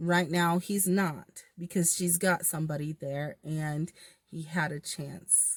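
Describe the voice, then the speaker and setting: A woman's somewhat breathy, fairly low voice at a very slow pace, with fairly even intonation, in a very clean recording over a silent background. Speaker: tarot reader. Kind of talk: tarot reading monologue. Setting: in a car. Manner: stumbling, self-correcting.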